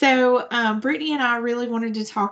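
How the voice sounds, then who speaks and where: Against a quiet background, a woman speaks at a fairly high pitch in a Southern US accent. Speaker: nonprofit staff presenter. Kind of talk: virtual presentation.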